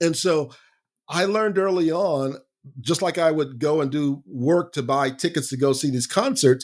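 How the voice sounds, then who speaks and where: A man keeps a moderate pace in a normal speaking voice, his pitch varying in an ordinary way. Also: very clean recording, silent background. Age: 60s. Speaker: growth strategy coach. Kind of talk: podcast interview. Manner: conversational, some false starts.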